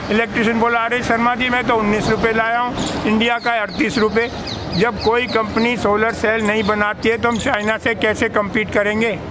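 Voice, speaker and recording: A man uses a raised, projected voice at a high pitch, with monotone, flat intonation and very even loudness. He keeps a moderate pace over noticeable background noise. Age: 80s+. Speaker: retired engineer and activist. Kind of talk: impassioned public talk.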